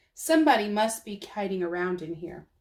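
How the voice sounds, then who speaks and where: A woman's put-on character voice at medium pitch, delivered at a fairly quick pace. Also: lively intonation. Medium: read story.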